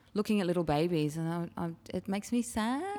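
A woman speaks in a fairly low pitch with an Australian accent. Her pitch moves in an ordinary way. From Sydney, Australia (Chatswood, North Shore). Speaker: op shop coordinator. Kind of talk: casual interview chat. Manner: halting, many fillers.

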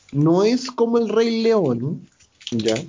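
A man talks with very wide pitch swings. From Chile, Santiago. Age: 20s. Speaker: podcast host. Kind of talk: casual chat. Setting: video call.

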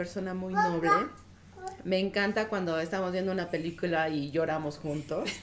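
Someone with a Mexican accent speaks at a moderate pace over noticeable background noise. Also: woman. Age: 40s. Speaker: married guest, mother. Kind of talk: casual panel chat.

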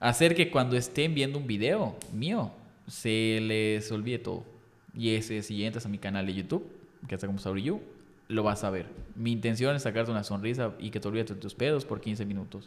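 A man's medium-pitched voice at a moderate pace with ordinary pitch variation, an ordinary speaking voice. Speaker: content creator. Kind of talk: casual chat.

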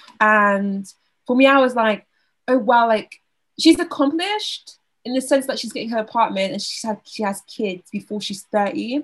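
Speaking with a Southern English accent, a woman uses a fairly high pitch at a moderate pace. Her intonation is lively, and her loudness swings a lot. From Southeast England. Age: 20s. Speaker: university student. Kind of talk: casual chat.

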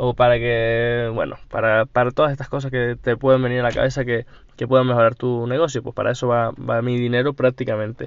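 Speaking at a fairly quick pace, a man uses a medium pitch and monotone, flat intonation. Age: 20s. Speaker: entrepreneur podcaster. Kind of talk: solo diary podcast. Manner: hesitant, repeats words.

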